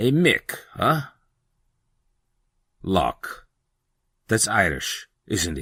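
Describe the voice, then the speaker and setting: A man uses a put-on character voice, soft-spoken and growling, at a very slow pace with long, frequent pauses. The recording is very clean with a silent background and a dry, close sound with no echo. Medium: read story. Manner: stern, unemotional, quiet.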